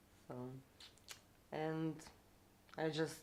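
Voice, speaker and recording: A woman speaks with a Lithuanian accent. Her pitch is very deep and low. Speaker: traveler. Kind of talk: interview.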